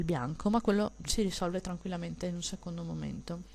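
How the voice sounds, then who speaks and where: A soft-spoken woman talks at a moderate pace with a fairly low pitch and vocal fry. The background is quiet. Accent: strong Venetian. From Veneto, Italy. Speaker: digital illustrator. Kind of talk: tutorial. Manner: soft-spoken, kept low for neighbors.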